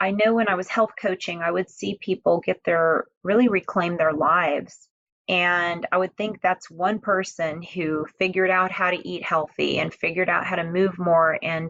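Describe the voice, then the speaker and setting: This speaker has a normal speaking voice with an American accent and fairly even intonation. The pace is moderate, with hardly any pauses. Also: woman, fairly low pitch for a woman. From Houston, Texas. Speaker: nonprofit founder and health advocate. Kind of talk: podcast interview.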